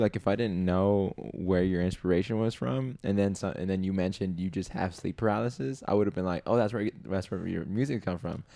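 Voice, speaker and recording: A man speaks at a very fast pace and a fairly low pitch. His tone is dark and mellow. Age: 20s. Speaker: podcast host. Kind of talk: casual chat.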